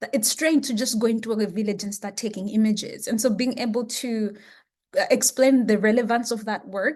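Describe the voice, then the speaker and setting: Against a quiet background, a woman speaks at a fairly quick pace in a fairly high, somewhat breathy voice with fairly even intonation. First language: Chichewa. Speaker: education researcher. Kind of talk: interview.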